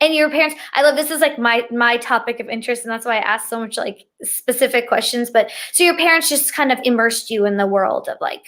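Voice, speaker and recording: In a very clean recording with a silent background, a woman talks at a fairly quick pace with hardly any pauses, her high pitch showing ordinary variation. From India, Rajasthan (born in US, moved to India at eight). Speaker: language teacher and bilingual author. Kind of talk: casual interview. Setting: livestream.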